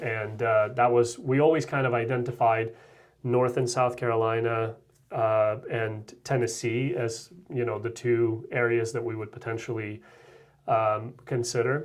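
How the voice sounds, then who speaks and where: A man with a Russian accent speaks at a fairly slow pace and a medium pitch. His intonation is monotone and flat. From Russia (former Soviet Union). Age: 30s. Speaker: real estate agent. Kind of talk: interview.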